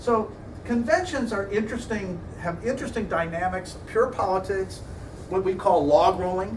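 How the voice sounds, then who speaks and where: Speaking with an American accent and ordinary pitch variation, a man with a high voice comes through audible room echo and noticeable background noise. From US Midwest. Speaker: political science lecturer. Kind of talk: lecture. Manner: fast.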